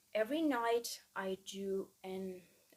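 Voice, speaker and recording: A woman speaks with a Persian accent. Her pitch is medium. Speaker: student vlogger. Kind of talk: casual vlog monologue. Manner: halting, many fillers.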